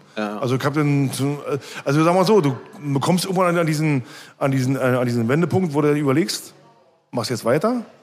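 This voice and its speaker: Lively intonation at a fairly quick pace, broken by long, frequent pauses, with music in the background. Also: man, fairly high pitch for a man. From East Berlin, Germany. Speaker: punk band musician. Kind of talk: casual interview. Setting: bar.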